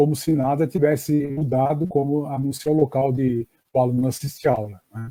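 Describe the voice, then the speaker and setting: At a moderate pace, a man with a fairly high pitch and a dark, mellow tone sounds somewhat breathy, keeping his intonation fairly even. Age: 60s. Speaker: education professor. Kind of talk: online lecture. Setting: live stream. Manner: hesitant with fillers.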